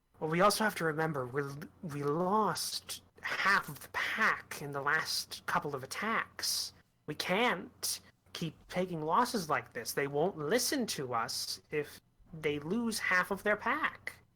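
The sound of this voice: At a fairly slow pace and a middle pitch, the speaker uses a put-on character voice.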